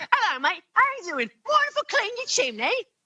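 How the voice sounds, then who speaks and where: A squeaky, put-on character voice with a British accent rattles along at a fairly quick pace and an extremely high pitch. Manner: exaggerated, jokey.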